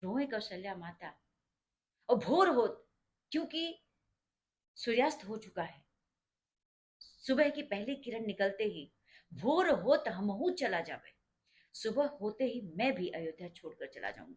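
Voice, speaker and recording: A somewhat breathy woman leaves long, frequent pauses, with very wide pitch swings and big swings in loudness. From India, Uttar Pradesh (Awadh region). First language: Awadhi (mixed with Bhojpuri) (speaking Hindi). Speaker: religious storyteller explaining a devotional song. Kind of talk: informal explanatory storytelling.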